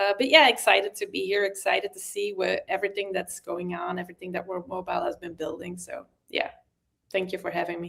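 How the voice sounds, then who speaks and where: Very fast speech comes from a woman with a non-native accent. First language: non-native English speaker. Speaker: crypto community member. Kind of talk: casual chat. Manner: halting, searching for words.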